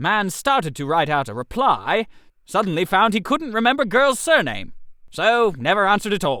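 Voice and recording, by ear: In a put-on character voice, a man speaks high and bright with a sharp tone, swinging widely in pitch at a moderate pace.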